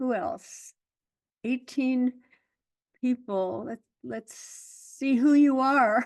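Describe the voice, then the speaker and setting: A woman's high voice at a very slow pace, with long, frequent pauses, big swings in loudness, ordinary pitch variation, and a dry, close sound with no echo. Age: 80s+. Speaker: Zen teacher. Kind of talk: dharma talk.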